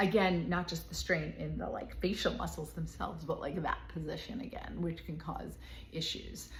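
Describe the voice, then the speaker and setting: A woman at a moderate pace, with audible room echo around her voice. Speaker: physical therapist and knitting channel host. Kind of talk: tutorial. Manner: animated.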